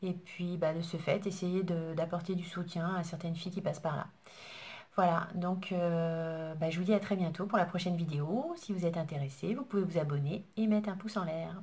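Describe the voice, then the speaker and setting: A woman speaks at a moderate pace in a fairly low, somewhat breathy voice. Her intonation stays fairly even. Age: 40s. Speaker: beauty YouTuber. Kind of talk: casual vlog introduction. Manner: hesitant, with fillers. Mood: warm, a bit shy. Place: home room. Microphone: phone near.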